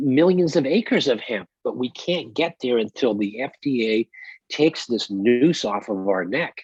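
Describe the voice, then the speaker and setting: Here a man speaks at a medium pitch. His intonation is lively. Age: 60s. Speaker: hemp company CEO. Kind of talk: podcast interview. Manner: animated.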